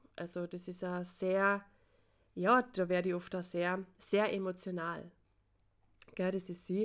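With an Austrian accent, a woman talks at a fairly slow pace in a monotone, flat intonation, leaving long, frequent pauses. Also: medium pitch for a woman. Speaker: podcaster. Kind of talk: personal monologue.

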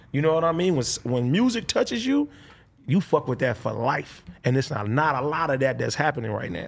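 Here a man talks at a fairly quick pace with an American accent. His pitch is fairly high, and his intonation is lively. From Compton, Los Angeles. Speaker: rapper. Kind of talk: casual interview.

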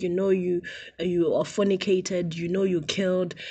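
A woman speaks in a dark, mellow tone. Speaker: preacher. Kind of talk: sermon. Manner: loud.

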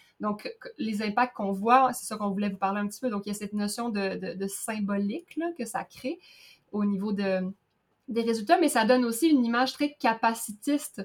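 A woman at a moderate pace, somewhat breathy, her pitch fairly high with ordinary variation. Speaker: podcast co-host. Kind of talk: casual chat.

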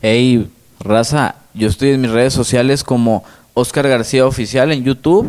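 Fairly slow and very even in loudness, a man speaks in a Mexican accent with ordinary pitch variation. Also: medium pitch for a man. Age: 20s. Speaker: rapper. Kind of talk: casual interview.

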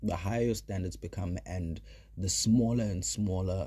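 A man's dark, mellow voice with vocal fry and very wide pitch swings. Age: 30s. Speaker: podcast host. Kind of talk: casual monologue.

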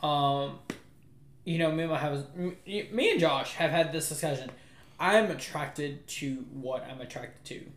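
Over noticeable background noise and audible room echo, a man with an American accent talks at a very slow pace in a fairly high pitch, with ordinary pitch variation and big swings in loudness. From US South, New Orleans. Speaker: podcast co-host. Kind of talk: casual chat.

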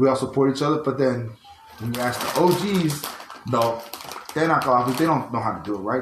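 A man's voice at a fairly quick pace with ordinary pitch variation, audible room echo and noticeable background noise. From US, Tongan heritage. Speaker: podcast co-host. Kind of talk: casual chat.

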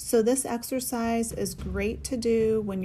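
A woman's calm tone at a fairly slow pace amid noticeable background noise. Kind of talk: guided breathwork meditation. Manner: calm, steady, coaching cadence with rhythmic repeated cues.

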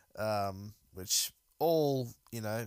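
A man with an Australian accent at medium pitch, on a very clean recording with a silent background. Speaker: MMA podcast host. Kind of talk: solo casual commentary. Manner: halting with many fillers.

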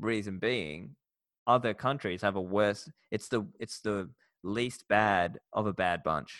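A man's fairly low voice with an Australian accent at a very slow pace, ordinary pitch variation, and a dry, close sound with no echo in a very clean recording with a silent background. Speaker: podcast host and bitcoin educator. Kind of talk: interview.

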